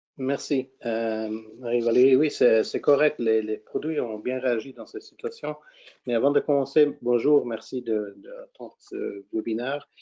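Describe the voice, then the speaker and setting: Spoken with a non-native accent at a fairly slow pace, the voice keeps fairly even intonation but swings widely in loudness. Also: man, medium pitch for a man. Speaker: fund manager. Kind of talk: webinar presentation. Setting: webinar. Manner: halting, frequent repetitions.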